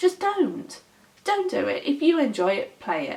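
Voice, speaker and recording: A woman with a British accent speaks in an animated tone at a moderate pace, her pitch swinging very widely. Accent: British accent, noted as nice by others. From Britain. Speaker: gaming vlogger. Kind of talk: casual vlog monologue. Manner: animated ranting.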